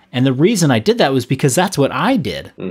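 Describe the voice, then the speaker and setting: A man with an unremarkable speaking voice, fairly high pitch and moderate pace. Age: 30s. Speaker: fitness coach and former competitive athlete. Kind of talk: casual chat.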